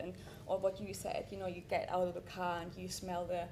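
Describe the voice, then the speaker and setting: A woman with a non-native accent talks at a fairly quick pace, with audible room echo. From Europe. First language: not English. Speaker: artist and environmental scientist. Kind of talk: panel discussion.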